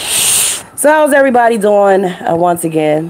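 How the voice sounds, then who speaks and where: A woman at a moderate pace, with noticeable background noise. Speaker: truck driver and live-stream host. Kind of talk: casual live stream chat. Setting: home studio live stream. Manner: loud.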